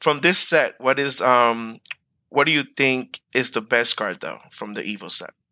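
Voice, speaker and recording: A man speaks in a bright, sharp tone at a medium pitch with ordinary pitch variation. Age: 30s. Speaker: podcast host. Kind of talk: casual chat.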